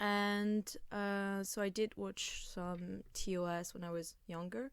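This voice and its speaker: Fairly even intonation carries this very slow delivery. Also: woman, medium pitch for a woman. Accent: French. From France. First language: French. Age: 20s. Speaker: podcast co-host. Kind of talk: casual chat.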